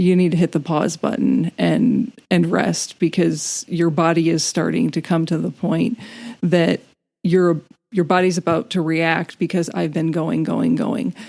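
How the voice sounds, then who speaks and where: A woman with a fairly low pitch, a dark, mellow tone and vocal fry speaks at a fairly slow pace. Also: ordinary pitch variation. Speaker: podcast co-host. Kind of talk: casual chat.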